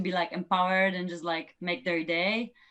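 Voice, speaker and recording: A woman speaks with a strong non-native accent. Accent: strong foreign. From Poland. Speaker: professional runner. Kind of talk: podcast interview. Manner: loud.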